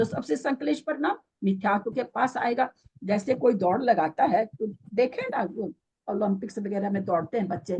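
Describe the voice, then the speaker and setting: A woman speaks in a dry, close sound with no echo. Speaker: religious teacher. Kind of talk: scripture lecture.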